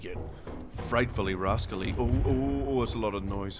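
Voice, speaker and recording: A man speaks with a Northern Irish accent while music plays in the background. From Northern Ireland. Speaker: streamer. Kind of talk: live gaming stream banter.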